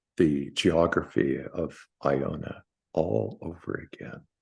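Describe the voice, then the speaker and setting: Speech from a man comes at a very slow pace. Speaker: memoir author. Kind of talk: book launch conversation. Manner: halting, repeats words.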